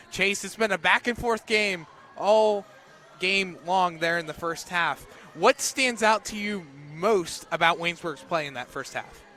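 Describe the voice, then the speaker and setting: A man uses a raised, projected voice at a high pitch. He goes at a fairly slow pace, with big swings in loudness. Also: ordinary pitch variation. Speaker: radio play-by-play announcer. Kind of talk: live sports radio play-by-play.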